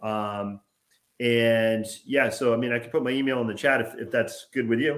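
Spoken in a plain, everyday voice with an American accent, the delivery keeps a fairly even intonation. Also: man, medium pitch for a man, moderate pace. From Massachusetts, Boston area. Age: 50s. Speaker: author and high school English teacher. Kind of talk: interview.

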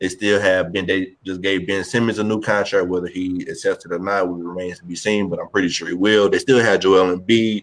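The speaker goes at a fairly quick pace with hardly any pauses, the intonation monotone and flat. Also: man, fairly low pitch for a man. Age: 20s. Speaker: podcast co-host. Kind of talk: casual chat.

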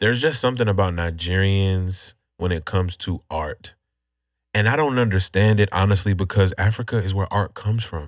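Talking fairly quickly, a man with an unremarkable speaking voice keeps a fairly low pitch and ordinary pitch variation. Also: very clean recording, silent background. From Nigerian American, grew up in US. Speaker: podcast host. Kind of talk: casual chat.

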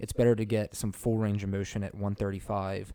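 A man speaks at a moderate pace with a fairly low pitch. His tone is dark and mellow, and his intonation stays monotone and flat. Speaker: fitness podcast co-host. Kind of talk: casual chat. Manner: loud; hesitant, many fillers.

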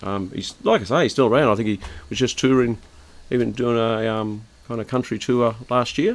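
A man speaks at a fairly quick pace. He has an Australian accent. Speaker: podcast host. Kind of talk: casual chat. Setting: outdoor backyard bar.

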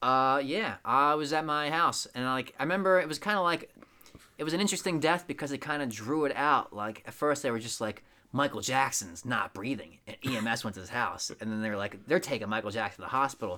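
Lively intonation at a fairly quick pace, with a bright, sharp tone. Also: man, fairly high pitch for a man. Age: 20s. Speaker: podcast co-host. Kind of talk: casual chat.

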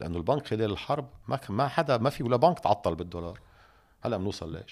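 A man is speaking. He keeps a moderate pace. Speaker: economist and political figure. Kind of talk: interview.

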